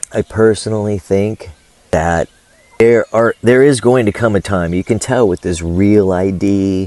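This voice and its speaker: A man talks slowly and at a fairly low pitch with fairly even intonation, while noticeable background noise is heard. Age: 60s. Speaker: vlogger and small farmer. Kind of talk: casual monologue vlog. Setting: outdoors by a fish pond on a farm.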